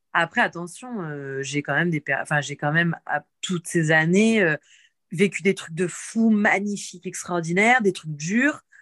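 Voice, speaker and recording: Her animated tone sits at a fairly low pitch for a woman, with ordinary pitch variation and a dry, close sound with no echo. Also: fairly slow pace. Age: 30s. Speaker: personal coach for women. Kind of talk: casual chat.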